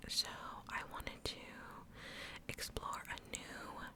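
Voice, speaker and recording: A woman's whispering at a very slow pace with noticeable background noise. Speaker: ASMR creator. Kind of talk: casual intro talk to camera. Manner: whispered, soft.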